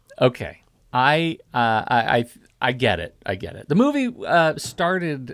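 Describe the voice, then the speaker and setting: A man with a normal speaking voice talks at a fairly slow pace and a fairly high pitch, his intonation lively and his loudness swinging widely. The recording is very clean, with a silent background. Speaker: podcast host. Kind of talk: film podcast discussion.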